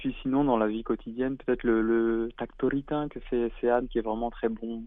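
The voice moves at a fairly slow pace with a monotone, flat intonation. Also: man, medium pitch for a man. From France. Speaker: comic book author. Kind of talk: interview. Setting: phone call. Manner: hesitant, repeats words.

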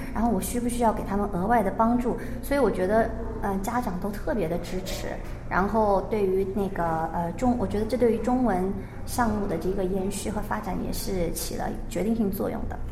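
A woman's medium-pitched voice at a fairly quick pace, fairly even in intonation, with audible room echo and noticeable background noise. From China. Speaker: primary school Chinese teacher. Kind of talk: radio interview.

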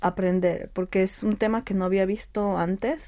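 A woman's fairly low, dark, mellow voice with fairly even intonation, in a very clean recording with a silent background. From Peru. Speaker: civil engineer. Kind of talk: interview.

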